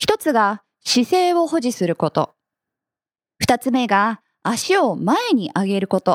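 A woman with a high pitch talks very slowly, pausing long and often, her pitch swinging very widely. The recording is very clean with a silent background and a dry, close sound with no echo. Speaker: workplace fitness instructor and company head. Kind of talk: radio interview.

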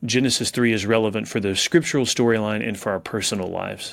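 Using a normal speaking voice, a man with an American accent talks at a fairly quick pace and medium pitch. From South Texas. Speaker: professor and pastor. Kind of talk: interview.

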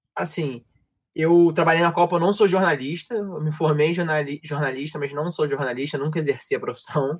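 A man with a strong carioca accent, fairly high-pitched for a man, at a fairly quick pace with fairly even intonation. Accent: strong stereotypical carioca. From Rio de Janeiro, Brazil. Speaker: sports journalism graduate, football commentator. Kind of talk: casual chat. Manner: fast, slurred speech.

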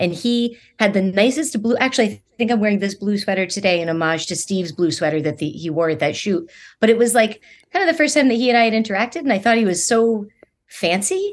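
Over a quiet background, a woman at medium pitch talks at a very fast pace with lively intonation. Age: 40s. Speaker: diabetes writer and speaker. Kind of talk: casual interview. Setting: video call.

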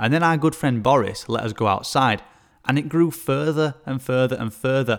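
With an English accent, a man speaks at a moderate pace in a medium pitch with ordinary pitch variation, on a very clean recording with a silent background. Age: 20s. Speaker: personal trainer and podcast host. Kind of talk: solo podcast monologue. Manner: enthusiastic.

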